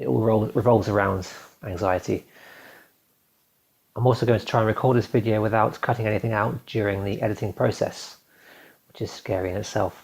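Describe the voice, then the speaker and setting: A man's vocal fry at a fairly quick pace, with fairly even intonation and long, frequent pauses, on a very clean recording with a silent background. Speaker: video blogger. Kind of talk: reading aloud. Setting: recording to camera. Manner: fast; nervous.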